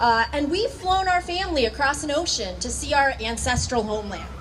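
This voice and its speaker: Audible room echo and noticeable background noise surround a voice at a moderate pace. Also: woman. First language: not English. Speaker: high school teacher. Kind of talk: rally speech.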